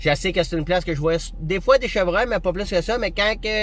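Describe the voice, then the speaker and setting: In a Quebec accent, a man talks at a fairly quick pace with an animated tone and ordinary pitch variation. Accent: Québécois French. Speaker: hunting vlogger. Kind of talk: casual tutorial monologue. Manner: fast.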